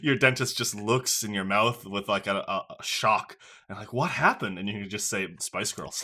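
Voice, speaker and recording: A man with a fairly low pitch and a bright, sharp tone speaks at a moderate pace, with ordinary pitch variation and big swings in loudness. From Newfoundland, Canada. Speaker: podcast host. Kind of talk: casual interview chat.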